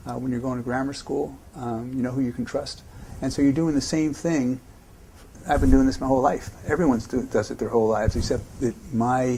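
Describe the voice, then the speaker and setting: A normal speaking voice with an American accent, ordinary pitch variation and a fairly quick pace. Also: man, medium pitch for a man. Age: 60s. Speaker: investor. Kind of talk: interview answers.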